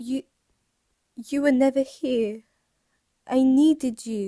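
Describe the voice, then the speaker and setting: A shaky, put-on character voice moves at a fairly slow pace with fairly even intonation. The sound is dry and close, with no echo. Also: woman, high pitch for a woman. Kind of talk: audio drama. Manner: trembling, tearful.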